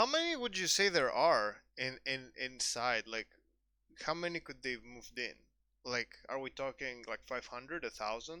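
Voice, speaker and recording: A bright, sharp tone at a moderate pace with ordinary pitch variation. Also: man, medium pitch for a man. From Greece, Athens. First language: Greek. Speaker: streamer. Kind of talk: casual chat. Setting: live stream.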